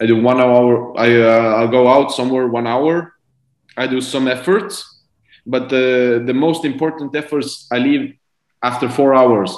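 A man in an Estonian accent at a fairly slow pace, with fairly even intonation, audible room echo and a quiet background. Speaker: professional cyclist; guest. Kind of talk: interview. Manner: halting. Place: home room. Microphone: video call.

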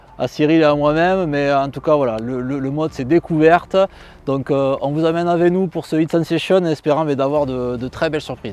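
A man at a moderate pace with fairly even intonation, in a dry recording with no echo. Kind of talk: interview to camera. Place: open country. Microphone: lapel.

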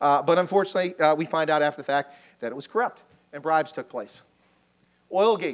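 Against a quiet background, a man talks at a very fast pace in a fairly high, animated voice with ordinary pitch variation. His loudness swings widely, and he leaves long, frequent pauses. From Baltimore, US. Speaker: army officer lecturing on Africa. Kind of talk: lecture. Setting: lecture hall with audience, microphone. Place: hall. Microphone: lapel.

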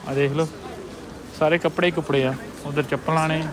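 Over clear background noise, a man with a fairly high voice speaks at a moderate pace with fairly even intonation.

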